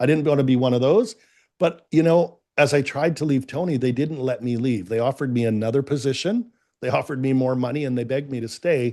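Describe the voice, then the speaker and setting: Against a quiet background, a man with a Canadian accent talks fairly quickly at a medium pitch, his tone dark and mellow. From Canada. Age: 50s. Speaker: business coach. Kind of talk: interview.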